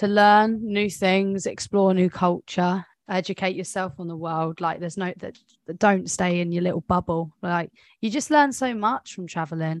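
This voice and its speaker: A woman with a southern English accent and a medium pitch speaks at a moderate pace with ordinary pitch variation. The background is quiet and the sound dry and close, with no echo. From West Sussex, southern England. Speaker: flight attendant and podcast co-host. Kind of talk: casual chat.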